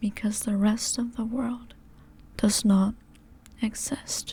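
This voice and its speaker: Soft-spoken and gentle in tone, a woman talks at a very slow pace. Her pitch is fairly high, and her tone is dark and mellow. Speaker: ASMR creator. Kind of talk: comfort roleplay ASMR, sleep aid. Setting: close-mic headphone ASMR. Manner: soft, gentle, slow.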